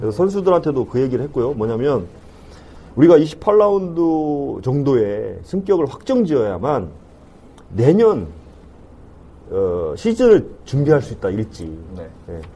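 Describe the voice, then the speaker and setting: Fairly high in pitch yet dark and mellow in tone, a man speaks somewhat breathily at a fairly slow pace, with long, frequent pauses and very wide pitch swings. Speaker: football club CEO. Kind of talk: interview. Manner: formal.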